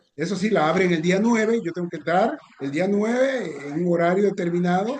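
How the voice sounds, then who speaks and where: A man's high-pitched voice at a fairly quick pace, amid noticeable background noise. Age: 60s. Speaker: sports journalist. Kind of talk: casual chat. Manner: halting.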